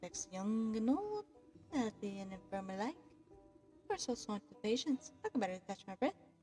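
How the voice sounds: Lively intonation in a natural reading voice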